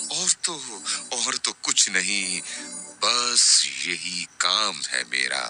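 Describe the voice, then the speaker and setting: Over music in the background, a man with a very deep, low pitch speaks in very wide pitch swings. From Pakistan. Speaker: radio presenter. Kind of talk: poetry reading.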